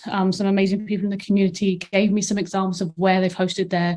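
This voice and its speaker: A somewhat breathy woman with a British accent, a dark, mellow tone, medium pitch and a very fast pace. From England. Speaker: marketing operations manager, conference presenter. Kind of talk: conference presentation. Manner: frequent fillers (um).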